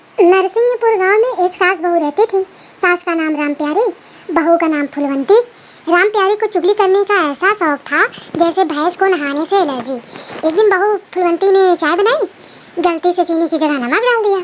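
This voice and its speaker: Speaking at a moderate pace, a woman uses an extremely high pitch. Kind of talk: folksy comic storytelling. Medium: solo performance. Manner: chatty, warm.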